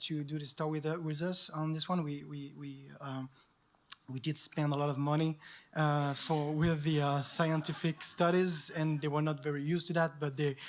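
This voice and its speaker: The speaker talks at a moderate pace with a French accent. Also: man. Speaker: journalist, award winner. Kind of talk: acceptance speech. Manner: halting.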